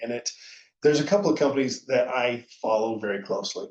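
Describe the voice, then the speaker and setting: A man with a medium pitch and an unremarkable speaking voice talks at a fairly quick pace. His intonation is lively. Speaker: conference speaker. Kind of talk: conference presentation. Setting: virtual conference.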